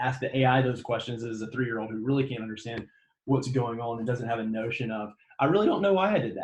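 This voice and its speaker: Somewhat breathy, a man with a Southern US accent speaks at a very fast pace. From US South, Mississippi. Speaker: graduate student presenter. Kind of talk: lecture.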